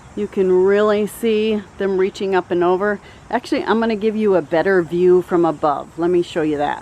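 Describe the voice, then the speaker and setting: A woman at medium pitch with ordinary pitch variation and a moderate pace, over noticeable background noise. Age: 50s. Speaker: gardening YouTuber. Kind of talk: garden tour vlog. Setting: outdoors in garden. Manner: casual, many filler words.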